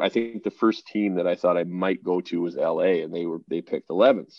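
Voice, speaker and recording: A man talks at a fairly quick pace with a western Canadian accent. His pitch is very deep and low. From Canada (suburban Calgary). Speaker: professional hockey goaltender. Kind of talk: interview. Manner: hesitant, many fillers.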